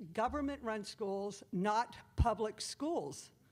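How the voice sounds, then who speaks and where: Moderate pace and ordinary pitch variation in a woman's speech. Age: 60s. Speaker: public commenter at school board meeting. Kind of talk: public comment speech. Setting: public meeting room with audience. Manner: animated.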